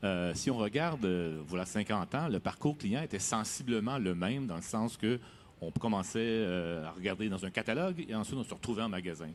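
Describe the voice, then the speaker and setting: A man speaks in a fairly low voice at a moderate pace. His intonation is lively. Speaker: software company executive. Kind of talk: interview. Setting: studio at a trade fair. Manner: hesitant, many fillers.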